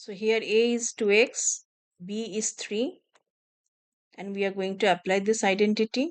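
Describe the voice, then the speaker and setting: The loudness swings widely, with long, frequent pauses. Delivery is fairly slow, with fairly even intonation. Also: woman, fairly high pitch for a woman. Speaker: math teacher. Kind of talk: tutorial.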